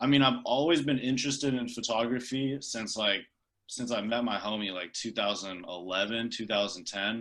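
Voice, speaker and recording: Against a quiet background, a man with an American accent speaks at medium pitch and a moderate pace with ordinary pitch variation. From Bay Area, San Jose. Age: 20s. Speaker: videographer and music video director. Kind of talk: casual podcast interview. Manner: casual, filler-heavy, repeats words.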